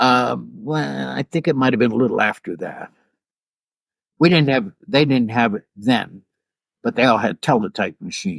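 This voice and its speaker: A man with an American accent and vocal fry swings very widely in pitch and leaves long, frequent pauses, in a dry, close sound with no echo. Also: medium pitch for a man, moderate pace. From US Northeast (Pittsburgh). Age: 70s. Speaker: photographer. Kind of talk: interview.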